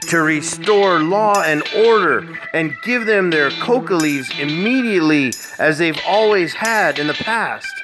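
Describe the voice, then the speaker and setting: A fairly slow pace over music in the background. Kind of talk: bedtime story narration.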